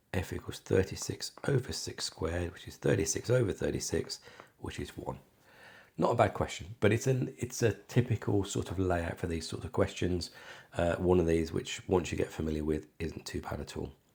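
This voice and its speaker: A man's very deep, low voice, somewhat breathy, with lively intonation, big swings in loudness and a moderate pace. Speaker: maths tutor. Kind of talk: maths tutorial walkthrough. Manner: casual, conversational.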